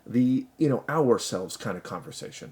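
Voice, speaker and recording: Speaking at a fairly quick pace, this man has a medium pitch. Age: 30s. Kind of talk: casual talk to camera. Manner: rambling, hesitant.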